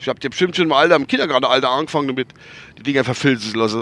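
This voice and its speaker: A man speaks with a bright, sharp tone. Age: 50s. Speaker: vlogger. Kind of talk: casual monologue. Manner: rambling, halting.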